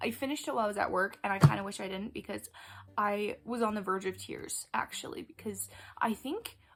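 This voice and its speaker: Very fast and lively in intonation, a woman talks at a medium pitch with vocal fry. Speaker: book youtuber. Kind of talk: casual monologue. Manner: animated; occasional stutter.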